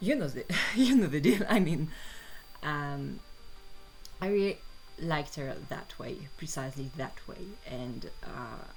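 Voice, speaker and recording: A woman with a French accent and a very deep, low pitch talks at a fairly slow pace with lively intonation, long, frequent pauses and big swings in loudness. Music plays in the background, and the room echo is audible. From France. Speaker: artist and fan commentator. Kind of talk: casual monologue while drawing. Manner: halting, many fillers.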